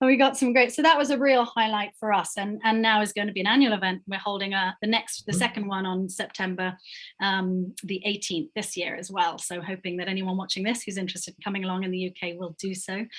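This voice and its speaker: Hardly pausing, a woman talks at a very fast pace with ordinary pitch variation. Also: medium pitch for a woman. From Cayman Islands. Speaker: non-profit founder and director. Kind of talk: podcast interview answer.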